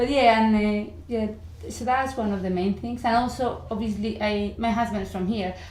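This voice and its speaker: A woman's fairly high voice in a strong Spanish accent, moderate in pace with fairly even intonation, with audible room echo. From Spain, Madrid. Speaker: university language teacher. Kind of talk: interview.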